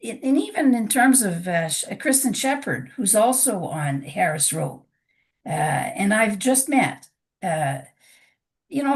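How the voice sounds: A woman with a raspy voice speaks at a fairly slow pace with lively intonation.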